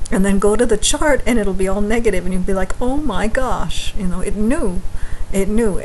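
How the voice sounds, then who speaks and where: There is light background noise as a woman speaks at a moderate pace with ordinary pitch variation. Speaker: astrology vlogger. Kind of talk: casual vlog chat. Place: home room. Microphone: webcam.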